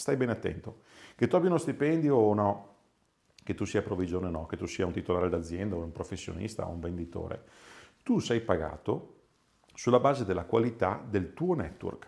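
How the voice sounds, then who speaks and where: With lively intonation and a fairly low pitch, a man talks at a fairly quick pace broken by long, frequent pauses. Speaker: sales and business coach; sales, business coach. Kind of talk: motivational talk to camera. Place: office. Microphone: lapel.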